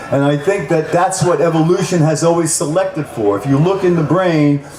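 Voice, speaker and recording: Through noticeable background noise and audible room echo, a man speaks fairly high for a man at a fairly quick pace. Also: ordinary pitch variation. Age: 60s. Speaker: speaker at cannabis rally. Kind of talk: rally speech.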